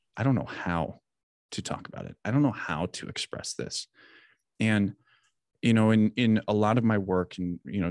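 With an American accent, a man has an ordinary speaking voice and moves at a moderate pace with ordinary pitch variation, recorded in a dry, close sound with no echo against a quiet background. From US Midwest, southern Wisconsin. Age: 30s. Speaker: military veteran and mental health coach. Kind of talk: podcast interview.

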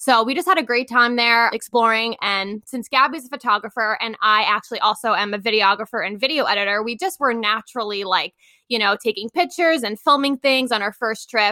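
A woman with an American accent speaks at a fairly high pitch in a bright, sharp tone, with ordinary pitch variation. She moves at a fairly quick pace with hardly any pauses, and the sound is dry and close with no echo. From Long Island, New York. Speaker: travel blogger. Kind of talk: interview.

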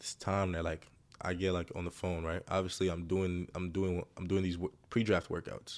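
Speech in an American accent moves at a moderate pace with monotone, flat intonation. The recording is very clean, with a silent background. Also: man. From Greece. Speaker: professional basketball player. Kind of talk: casual chat.

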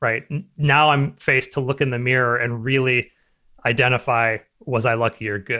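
A man uses an ordinary speaking voice at a medium pitch. He keeps a moderate pace with fairly even intonation. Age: 40s. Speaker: web designer and entrepreneur. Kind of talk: interview.

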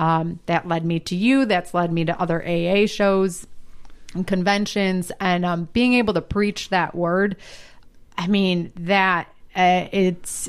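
A woman in a plain, everyday voice, fairly low in pitch and fairly slow, with fairly even intonation, in a very clean recording with a silent background. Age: 30s. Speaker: stand-up comedian. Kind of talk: casual interview chat.

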